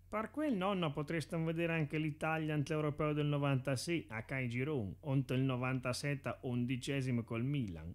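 A man with a fairly high pitch speaks at a moderate pace. He uses ordinary pitch variation and hardly any pauses. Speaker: amateur comedy dubber. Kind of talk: parody commercial voiceover.

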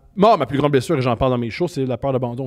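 A quiet background and ordinary pitch variation. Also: man. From Quebec, Montreal. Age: 30s. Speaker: comedian. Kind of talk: casual chat. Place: studio. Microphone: handheld.

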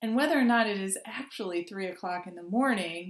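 Somewhat breathy speech with ordinary pitch variation, audible room echo and a quiet background. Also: woman. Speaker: clergy preacher. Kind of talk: sermon. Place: home room. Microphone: webcam.

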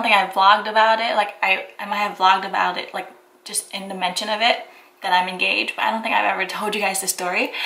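There is audible echo in the room. A woman talks at a fairly quick pace. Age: 20s. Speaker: lifestyle vlogger. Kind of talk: casual vlog chat. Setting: home kitchen, filming to camera. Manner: animated, giggly. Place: kitchen. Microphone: phone near.

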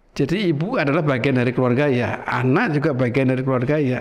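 Fairly high male voice, fairly quick delivery and ordinary pitch variation. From Central Java, Indonesia (Sragen); Central Java, Indonesia. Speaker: professor and painter; professor. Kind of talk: casual interview. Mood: relaxed, storytelling. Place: studio. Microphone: lapel.

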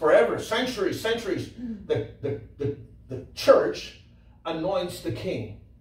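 A man talks at a fairly slow pace with big swings in loudness. Audible room echo surrounds his voice. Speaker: preacher, Bible teacher. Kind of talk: sermon, Bible teaching. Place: church.

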